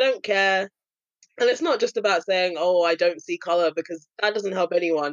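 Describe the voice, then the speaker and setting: Moderate pace in a London accent. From London, England. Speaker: anti-racism activist and content creator. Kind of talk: casual chat.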